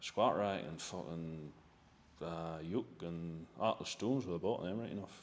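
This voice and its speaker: Speaking in a Northern Irish accent, a man uses a very deep, low voice at a fairly slow pace with ordinary pitch variation. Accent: Northern Irish, rural. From Northern Ireland. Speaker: part-time farmer. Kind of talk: podcast interview answer. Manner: casual, sweary.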